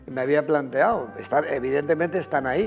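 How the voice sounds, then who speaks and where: Fairly quick male speech, fairly high in pitch with ordinary variation, over music in the background. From Spain, Segovia (Riaza). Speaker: costume designer. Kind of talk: interview. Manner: halting, many fillers.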